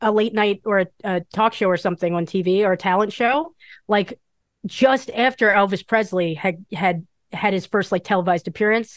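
Over a quiet background, a woman speaks in an ordinary speaking voice at a medium pitch with ordinary pitch variation and a moderate pace, the sound dry and close with no echo. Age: 30s. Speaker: comic book artist. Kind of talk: casual chat.

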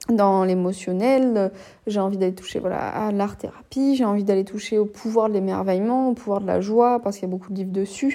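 A woman with a dark, mellow tone and medium pitch speaks at a fairly quick pace with fairly even intonation. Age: 20s. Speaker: podcaster and psychologist. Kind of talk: solo introspective monologue. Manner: halting, with frequent hesitations.

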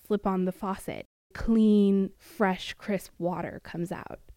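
A woman in a West Coast US accent, medium in pitch, at a fairly slow pace, in a monotone, flat intonation, with a dry, close sound free of echo and a very clean recording with a silent background. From US Pacific Northwest. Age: 20s. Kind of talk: first-person audio testimony.

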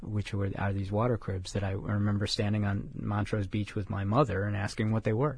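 With an American accent, a man speaks at a moderate pace in a fairly low, somewhat breathy voice. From Chicago. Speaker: writer. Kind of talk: interview. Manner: halting.

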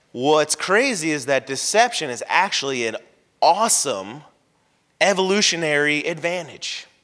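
Loud and with an American accent, a man talks in a bright, sharp tone at a fairly high pitch, his intonation lively. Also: moderate pace. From Florida. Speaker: pastor. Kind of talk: sermon. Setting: church.

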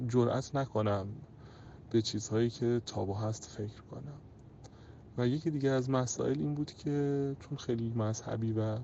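This is an ordinary speaking voice with ordinary pitch variation. It moves at a moderate pace. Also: man, medium pitch for a man. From Iran, Tehran. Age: 30s. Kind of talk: personal testimony.

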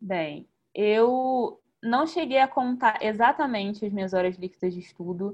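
A woman talks fairly slowly in a fairly high voice, with lively intonation. She has an ordinary speaking voice. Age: 20s. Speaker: successful candidate for the diplomatic service exam. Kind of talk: interview in a live online talk.

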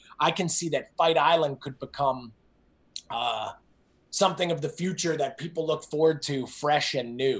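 In a New Jersey accent, a man speaks with an energetic tone, a fairly high pitch and ordinary pitch variation. His pace is moderate, and the background is quiet. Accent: New Jersey American. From US Northeast, New Jersey. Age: 40s. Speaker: fitness coach and entrepreneur. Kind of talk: interview.

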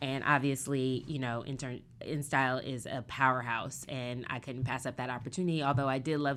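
The speaker has an American accent and a fairly quick pace. The intonation is flat and monotone. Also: woman. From US Pacific Northwest (Seattle). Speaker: fashion and beauty magazine editor. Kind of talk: interview conversation.

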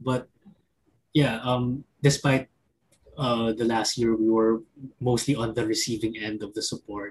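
A man speaks at a fairly slow pace and medium pitch, leaving long, frequent pauses. His voice is somewhat breathy, and his intonation is monotone and flat. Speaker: arts organization editor. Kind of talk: online panel discussion. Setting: video call.

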